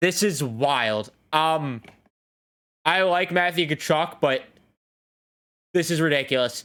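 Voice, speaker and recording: Delivery is very slow, marked by long, frequent pauses. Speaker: hockey YouTuber. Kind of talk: reaction commentary. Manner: halting, stuttering.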